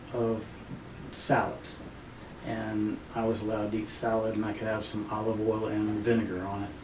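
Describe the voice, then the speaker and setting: A man talks at a moderate pace in a medium pitch. Room echo is audible. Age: 60s. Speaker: patient, retired firefighter and army veteran. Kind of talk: testimony interview. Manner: hesitant, many fillers.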